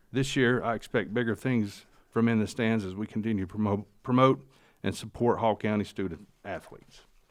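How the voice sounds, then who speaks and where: A man in a Southern US accent, with ordinary pitch variation. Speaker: sports podcast co-host. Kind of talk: reading aloud.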